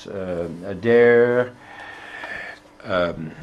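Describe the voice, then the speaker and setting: A man's voice with audible room echo and noticeable background noise. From Netherlands, The Hague. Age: 70s. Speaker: former politician, academic. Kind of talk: interview.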